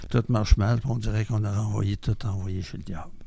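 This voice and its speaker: Somewhat breathy and dark, mellow in tone, this voice moves at a fairly quick pace with fairly even intonation in a Quebec accent. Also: man. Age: 70s. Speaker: member of a mental health community group. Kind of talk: testimony.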